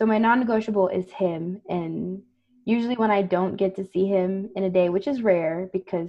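A woman with a plain, everyday voice at medium pitch, moderate pace and ordinary pitch variation. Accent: American. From South Texas, US. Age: 20s. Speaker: counselor, podcast co-host. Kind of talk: casual chat.

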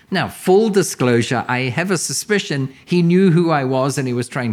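The speaker has a New Zealand accent and talks at a fairly quick pace. The intonation is lively. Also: man. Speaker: commercial real estate mentor. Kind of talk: educational interview chat.

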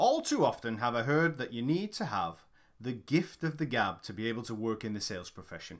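In a very clean recording with a silent background, a man with a British accent talks at a fairly quick pace with lively intonation. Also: medium pitch for a man. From UK. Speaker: sales trainer. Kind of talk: audiobook narration.

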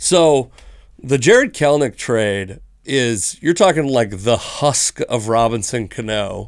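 On a very clean recording with a silent background, a man talks at a very slow pace with lively intonation. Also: medium pitch for a man. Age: 30s. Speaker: sports podcast co-host. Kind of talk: casual chat. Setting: studio.

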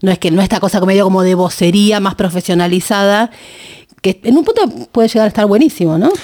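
Very fast pace, very even loudness, ordinary pitch variation, and a dark, mellow tone. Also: woman, medium pitch for a woman. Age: 50s. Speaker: political podcast host and interviewer. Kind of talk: interview. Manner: halting, repeats words.

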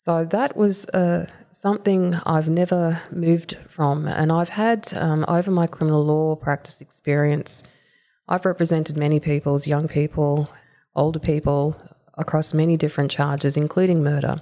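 A woman speaks with a very deep, low pitch and a dark, mellow tone. Her pace is moderate and her intonation fairly even. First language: not English. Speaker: lawyer. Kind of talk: interview answers. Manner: formal, articulate.

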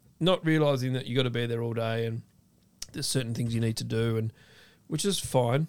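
A man with a medium pitch and ordinary pitch variation speaks at a fairly quick pace. He takes long, frequent pauses. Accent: Australian. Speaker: food content creator and ex-chef. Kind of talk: casual chat.

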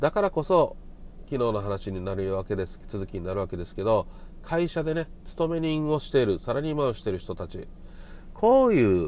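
Dark and mellow in tone, a man's voice makes very wide pitch swings at a moderate pace. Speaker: podcast host. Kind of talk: solo monologue.

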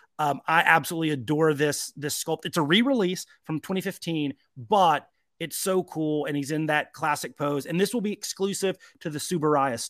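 With ordinary pitch variation and a fairly high pitch, a man speaks at a moderate pace in a very clean recording with a silent background. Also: dry, close sound with no echo. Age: 40s. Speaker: podcast co-host, toy collector. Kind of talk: casual chat. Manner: animated.

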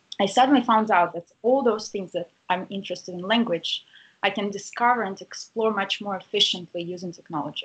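Speaking at a fairly quick pace with a Russian accent, a woman uses a medium pitch and ordinary pitch variation. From Russia, St. Petersburg. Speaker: university lecturer and researcher. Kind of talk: interview.

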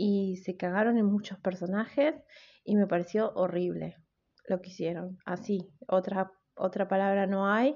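With ordinary pitch movement, the speaker talks at a fairly slow pace. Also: woman, medium pitch for a woman. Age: 30s. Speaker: podcast host. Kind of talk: casual solo podcast monologue.

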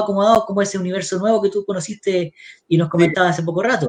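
His voice is pitched high. A man is the one talking. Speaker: party livestream host. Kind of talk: talk show interview.

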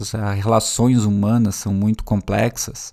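A man with a dark, mellow tone speaks at a fairly slow pace in a very clean recording with a silent background. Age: 30s. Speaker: podcast host and teacher. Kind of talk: solo podcast monologue. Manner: casual and conversational.

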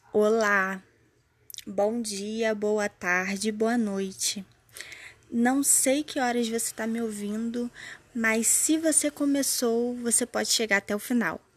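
A woman with a fairly high pitch talks very slowly, her pitch varying in an ordinary way. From Brazil, São Gonçalo (Rio de Janeiro metro area). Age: 20s. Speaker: poet and podcast host. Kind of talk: podcast introduction.

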